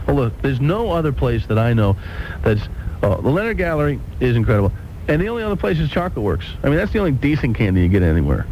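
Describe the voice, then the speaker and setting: Over noticeable background noise, a man talks at a very fast pace, his loudness very even while his pitch swings very widely. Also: medium pitch for a man. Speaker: radio talk show host. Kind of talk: radio talk show banter.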